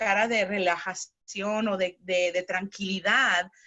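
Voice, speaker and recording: A woman speaking at a fairly slow pace. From Chicago, US (Spanish-speaking home). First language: bilingual Spanish-English (speaking Spanish). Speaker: psychotherapist. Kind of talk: interview. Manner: halting, with fillers.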